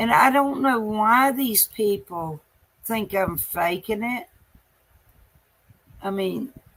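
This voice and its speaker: The speaker talks at a very slow pace with a Southern US accent and lively intonation. Long, frequent pauses break up the speech. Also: woman, fairly high pitch for a woman. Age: 60s. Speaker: live streamer. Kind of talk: casual live-stream monologue. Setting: late night live stream.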